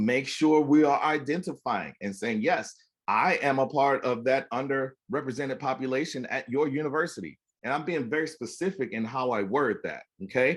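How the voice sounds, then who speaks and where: Fairly high in pitch, a man talks in an animated tone. His pitch variation is ordinary. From US South, Florida (Miami). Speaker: music educator and university band director. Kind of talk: conference presentation. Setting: video call. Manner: fast.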